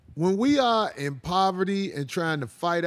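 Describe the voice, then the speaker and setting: This man's pitch swings very widely. He keeps a moderate pace. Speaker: show host. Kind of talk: podcast discussion commentary. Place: studio. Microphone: handheld.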